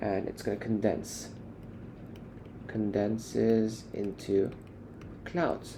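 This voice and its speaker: In a fairly low pitch and a dark, mellow tone, a man talks at a very slow pace with ordinary pitch variation and long, frequent pauses, with audible room echo. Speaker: student tutor. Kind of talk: tutorial. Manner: halting.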